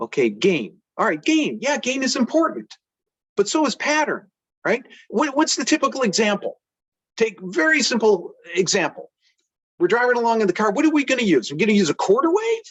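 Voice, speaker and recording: An extremely high-pitched male voice at a fairly quick pace, very wide pitch swings over very even loudness. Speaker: inventor and antenna engineer. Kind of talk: technical presentation. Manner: fast; halting, repetitions and stammers.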